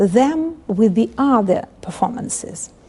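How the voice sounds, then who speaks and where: With a Ukrainian accent, a woman speaks very slowly at a fairly high pitch over noticeable background noise. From Ukraine. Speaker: literature professor. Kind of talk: interview. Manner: halting.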